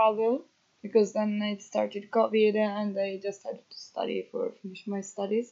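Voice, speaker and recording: A woman speaks with an Italian accent. Her pitch is fairly high. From northern Italy, Emilia-Romagna. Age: 20s. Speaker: agroforestry volunteer. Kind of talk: interview. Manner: hesitant, many fillers.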